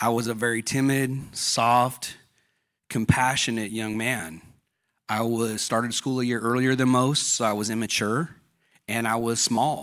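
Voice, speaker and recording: In an American accent, a man with a plain, everyday voice speaks at a medium pitch with fairly even intonation, on a very clean recording with a silent background. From Southern California. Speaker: church member, ex-convict. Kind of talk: testimony. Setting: church service with audience.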